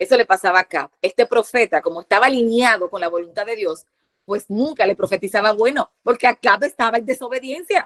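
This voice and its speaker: A woman speaks with a fairly high pitch, a fairly quick pace and lively intonation, recorded dry and close with no echo. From Dominican Republic. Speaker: preacher. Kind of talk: sermon. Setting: online platform. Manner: fast.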